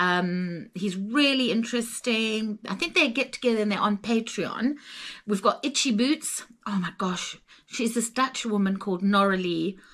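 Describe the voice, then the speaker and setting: A woman's fairly high voice in a Zimbabwean accent, moderate in pace, with ordinary pitch variation. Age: 60s. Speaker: travel vlogger. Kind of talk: casual chat.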